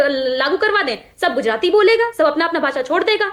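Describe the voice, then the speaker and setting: Noticeable background noise sits behind a woman whose pitch swings very widely as she speaks at a moderate pace. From Bihar, Magadh region. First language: Magahi (speaking Hindi). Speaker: political party spokesperson. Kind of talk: heated TV debate. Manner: animated.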